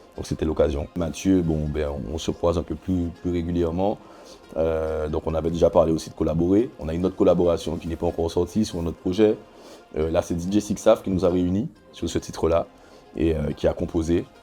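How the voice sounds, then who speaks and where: Music plays in the background as a man talks at a fairly quick pace. His pitch is very deep and low, and his intonation is fairly even. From Guadeloupe. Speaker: rapper. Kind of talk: interview. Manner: hesitant, many fillers.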